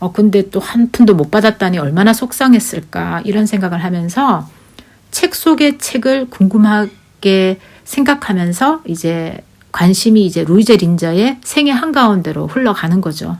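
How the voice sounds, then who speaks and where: A woman with a medium-pitched, somewhat breathy voice speaks at a fairly slow pace in an animated tone with lively intonation. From Korea, Daegu. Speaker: YouTuber. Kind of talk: casual storytelling monologue. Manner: chatty, animated.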